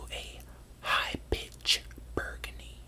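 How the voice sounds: Someone whispers at a very slow pace.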